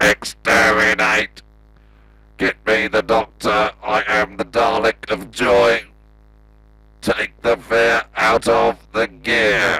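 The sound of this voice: A man puts on a robotic, raspy character voice. He speaks very slowly, with long, frequent pauses.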